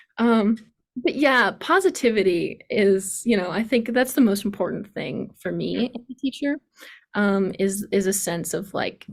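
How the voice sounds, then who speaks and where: A woman speaks at a medium pitch with a somewhat breathy tone. Her pace is fairly slow, and her pitch varies in an ordinary way. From US East Coast. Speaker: piano teacher. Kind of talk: online workshop.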